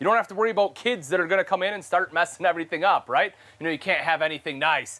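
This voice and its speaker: Raised and projected, the voice comes at a very fast pace with a bright, sharp tone. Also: man. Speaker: presenter. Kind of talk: product walkthrough tour.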